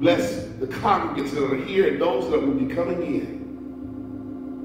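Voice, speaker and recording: A man is heard with audible room echo. Noticeable background noise runs through the clip. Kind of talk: prayer. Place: church.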